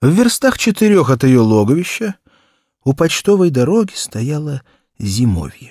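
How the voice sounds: A man's fairly high voice, slightly mellow with a slightly husky edge, big pitch swings and a moderate pace, in a very clean recording with a silent background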